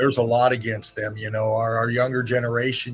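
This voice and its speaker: Against music in the background, a man talks at a fairly quick pace in a monotone with flat intonation. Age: 60s. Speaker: live stream host. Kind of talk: casual chat. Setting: live stream.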